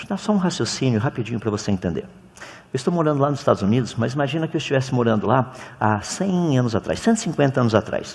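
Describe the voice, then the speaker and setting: A man races along at a very fast pace, his pitch swinging very widely. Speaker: creationist lecturer. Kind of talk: lecture. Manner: animated.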